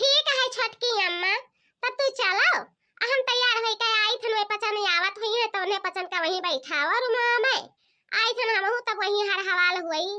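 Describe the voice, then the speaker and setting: A woman puts on a cartoonish character voice, squeaky and extremely high in pitch. She keeps a moderate pace and very even loudness. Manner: soft, timid.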